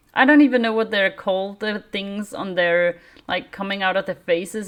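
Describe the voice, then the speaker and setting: The speaker has a non-native accent. Pitch varies in an ordinary way. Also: woman. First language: not English. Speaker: miniature wargaming YouTuber. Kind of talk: casual review; reading aloud. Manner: hesitant, many fillers.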